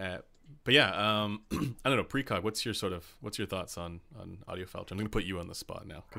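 Fairly quick male speech with a Canadian accent, fairly low in pitch, bright and sharp in tone, with ordinary pitch variation and big swings in loudness. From Canada. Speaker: livestream host. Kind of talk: casual live stream interview. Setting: live stream.

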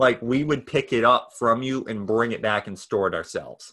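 The man's voice sits at a medium pitch, bright and sharp in tone, at a moderate pace. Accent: American. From US Northeast, New Hampshire. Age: 20s. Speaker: nonprofit founder and entrepreneur. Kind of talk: casual interview. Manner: halting, many fillers and restarts.

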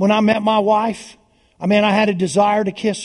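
A man speaks in an animated tone at a high pitch. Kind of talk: sermon. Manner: animated, exhortative, call-and-response with the congregation; punchy, repetitive, urgent pulpit delivery.

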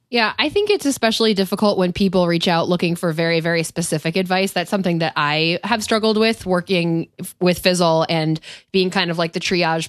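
A woman speaks at a fairly quick pace with hardly any pauses and fairly even intonation. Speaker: customer support and community team member. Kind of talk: casual podcast discussion.

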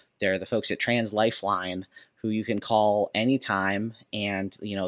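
With an American accent, a man speaks at a moderate pace in a fairly low, monotone pitch with flat intonation, recorded with a dry, close sound and no echo. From Minnesota, US Midwest. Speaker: author and seminary graduate. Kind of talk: interview conversation. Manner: halting, many fillers.

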